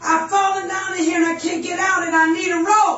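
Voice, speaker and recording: In a put-on character voice with an extremely high pitch, a woman speaks at a fairly quick pace in a monotone, flat way, with a slight echo. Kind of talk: sermon storytelling. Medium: solo performance. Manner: hollering, pleading.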